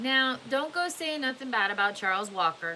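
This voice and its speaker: Putting on a drawling character voice, a woman speaks high with very wide pitch swings at a moderate pace over clear background noise. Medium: read story. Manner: slow drawl.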